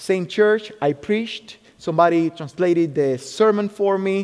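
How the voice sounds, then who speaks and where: In a Spanish accent, a man talks in a high voice with ordinary pitch variation. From Cuba. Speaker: military chaplain. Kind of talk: sermon. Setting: church.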